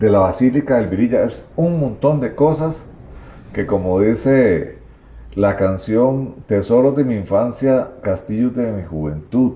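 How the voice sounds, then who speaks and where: A man's dark, mellow voice at medium pitch moves at a fairly slow pace with lively intonation. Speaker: local history video host. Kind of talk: interview about local history. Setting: at the guest's home.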